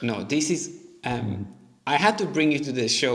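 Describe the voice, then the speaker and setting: Music in the background and audible room echo behind a man with a fairly high pitch, ordinary pitch variation and a moderate pace. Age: 30s. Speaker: podcast host. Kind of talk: interview.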